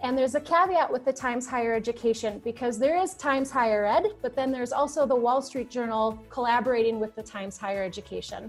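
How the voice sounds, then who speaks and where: A woman's high-pitched voice at a very fast pace, with ordinary pitch variation and hardly any pauses. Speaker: university admissions representative. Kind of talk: webinar presentation.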